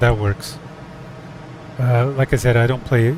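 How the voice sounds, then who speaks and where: A man's voice with fairly even intonation, over noticeable background noise. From Portugal. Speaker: flight sim streamer. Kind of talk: casual chat. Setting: live stream. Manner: hesitant, many fillers.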